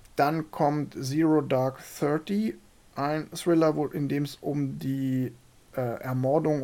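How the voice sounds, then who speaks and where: Very slow speech against a silent background in a very clean recording. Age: 40s. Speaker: film podcast host. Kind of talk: casual chat.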